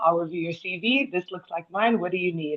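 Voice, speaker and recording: Here a woman with an ordinary speaking voice talks in an American accent at a fairly quick pace. Her pitch is medium, with ordinary variation. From United States. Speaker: panel speaker. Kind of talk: panel discussion.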